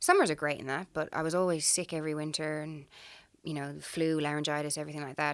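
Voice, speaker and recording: On a very clean recording with a silent background, a woman talks very fast in a very deep, low voice. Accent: strong Irish. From Ireland. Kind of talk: casual interview.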